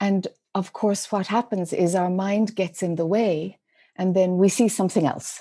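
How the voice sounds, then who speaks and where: With an Irish accent, this voice has a dark, mellow tone, fairly even intonation and a moderate pace. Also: woman, medium pitch for a woman. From Ireland, rural dairy farm. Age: 50s. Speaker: spiritual teacher. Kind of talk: podcast interview.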